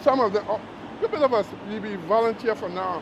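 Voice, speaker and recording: A man's high-pitched voice at a fairly quick pace, with ordinary pitch variation and noticeable background noise. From Trinidad. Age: 80s+. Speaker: retired US Army Vietnam veteran. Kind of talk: casual interview chat.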